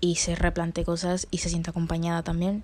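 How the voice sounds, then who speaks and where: A woman talks at a fairly slow pace. Her voice is fairly low in pitch, with a dark, mellow tone. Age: 20s. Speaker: podcaster, psychology student. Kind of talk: casual monologue.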